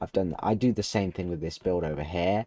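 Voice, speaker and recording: The man's voice is very deep and low in pitch. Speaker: gamer, video game builder. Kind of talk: casual game tutorial narration.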